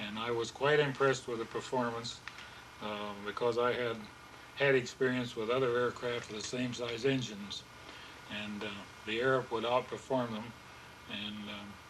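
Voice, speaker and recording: Over noticeable background noise, a man with a Midwestern US accent speaks at a medium pitch and moderate pace in a monotone, flat way, with long, frequent pauses. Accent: US Midwest. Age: 80s+. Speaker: pilot and aircraft builder. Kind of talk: interview. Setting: home room. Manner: halting.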